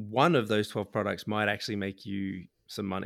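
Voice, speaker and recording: A man talks at a moderate pace. He has an unremarkable speaking voice with a fairly low pitch. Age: 30s. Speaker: software developer and podcast co-host. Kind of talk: casual chat.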